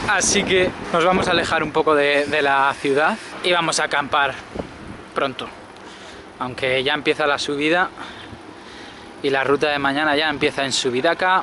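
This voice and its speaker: With a moderate pace and long, frequent pauses, a man talks in a fairly even intonation over light background noise, the sound dry with no echo. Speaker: touring cyclist vlogger. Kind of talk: casual vlog chat. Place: street. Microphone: phone near.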